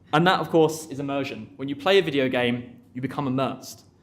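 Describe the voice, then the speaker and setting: With audible room echo, a man speaks very fast at a medium pitch. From Essex, England. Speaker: conference speaker, developer advocate. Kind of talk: tech talk. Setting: stage with audience.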